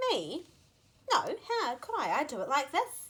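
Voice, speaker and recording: Using a put-on character voice, the woman speaks at a high pitch. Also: moderate pace. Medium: read story.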